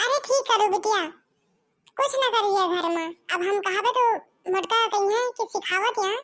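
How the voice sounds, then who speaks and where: In a cartoonish character voice, a female-sounding speaker talks at a moderate pace with a squeaky, extremely high pitch. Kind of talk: cartoon comedy acting. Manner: motherly, sympathetic.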